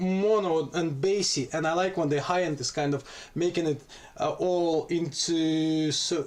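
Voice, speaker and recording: Speaking fairly slowly in a Russian accent, a man has a high pitch. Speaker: music producer. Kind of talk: tutorial. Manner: halting.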